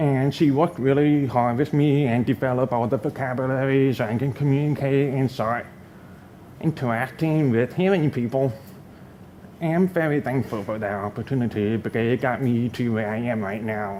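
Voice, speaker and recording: This man has a medium-pitched voice with a dark, mellow tone. He talks at a moderate pace with ordinary pitch variation. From US South, North Carolina. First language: sign language. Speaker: fashion designer and design professor. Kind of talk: talk to an audience. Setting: stage with audience.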